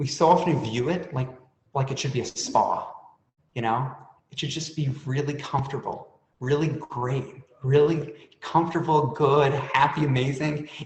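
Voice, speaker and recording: A somewhat breathy man with a fairly high pitch talks at a moderate pace with fairly even intonation, and room echo is audible. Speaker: author and panelist on stuttering. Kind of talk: panel discussion testimony.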